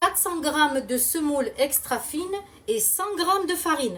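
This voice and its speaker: Loud and high-pitched, a woman speaks at a fairly slow pace with lively intonation against noticeable background noise. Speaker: cooking video host. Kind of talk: cooking tutorial, live. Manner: animated.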